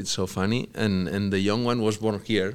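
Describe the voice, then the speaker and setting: A man's fairly low, monotone voice with flat intonation at a moderate pace. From Spain, Catalonia (Barcelona). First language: Catalan/Spanish. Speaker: professional soccer player. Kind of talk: interview. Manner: halting, many fillers and repetitions.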